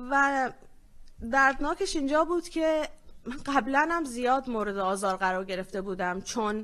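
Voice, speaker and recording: This woman has an ordinary speaking voice, fairly high in pitch. She talks at a moderate pace with lively intonation. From Iranian Kurdistan. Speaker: feminist activist, panelist. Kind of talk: conference panel talk.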